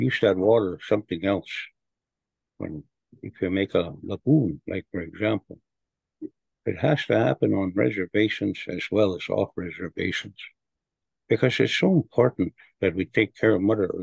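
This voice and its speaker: A man with a fairly low pitch, vocal fry and lively intonation speaks at a moderate pace with long, frequent pauses, in a dry sound with no echo and a quiet background. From Canada, Alberta First Nations. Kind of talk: presentation. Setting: video call. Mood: earnest, reflective. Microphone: webcam.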